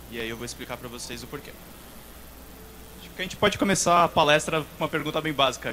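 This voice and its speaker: With a São Paulo accent, a man speaks in fairly even intonation. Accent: São Paulo accent with dragged R's. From São Paulo, Brazil. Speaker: games journalist. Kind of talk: conference talk. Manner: hesitant, many filler sounds.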